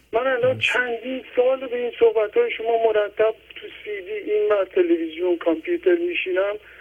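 With noticeable background noise behind him, a man at an extremely high pitch speaks at a moderate pace with lively intonation and hardly any pauses. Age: 50s.

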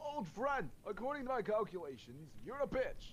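A man's strained, high-pitched put-on character voice at a moderate pace with clear background noise. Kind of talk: D&D character voice. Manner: dramatic, theatrical.

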